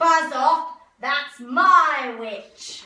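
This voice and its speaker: A woman puts on a character voice that is shrill, croaky and growling at a high pitch. A slight echo hangs on the sound. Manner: menacing, terrible.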